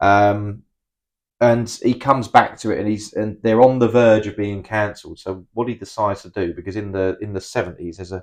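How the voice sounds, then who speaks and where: A man with a British accent talks at a fairly quick clip, his pitch fairly low. His intonation stays fairly even, and the background is quiet. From UK. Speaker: film review podcast co-host. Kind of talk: casual chat. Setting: home recording.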